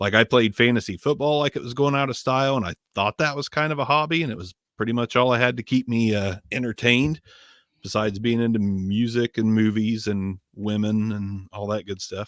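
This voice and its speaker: Using an American accent, a man speaks at a fairly quick pace and medium pitch with ordinary pitch variation. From Southern Ohio, US. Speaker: microphone reviewer. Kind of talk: casual chat. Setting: live stream.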